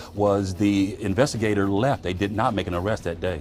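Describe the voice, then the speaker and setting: The man has an unremarkable speaking voice with a fairly low pitch. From American, Memphis, Tennessee. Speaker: TV news reporter and anchor. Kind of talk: TV news anchor delivery.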